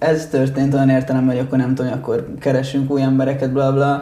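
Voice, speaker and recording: A man speaks at a fairly quick pace in a dark, mellow tone. His voice is somewhat breathy, with audible room echo. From Italy, moved to Hungary at 8. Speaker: rock band musician. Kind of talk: casual interview chat.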